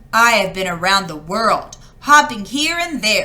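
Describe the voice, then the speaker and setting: Putting on a character voice, a woman talks at a moderate pace with a fairly high pitch. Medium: read story. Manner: excited, boastful.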